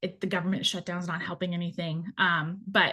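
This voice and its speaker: A woman speaks at medium pitch. The background is quiet. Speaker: student debt specialist. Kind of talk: webinar Q&A. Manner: fast.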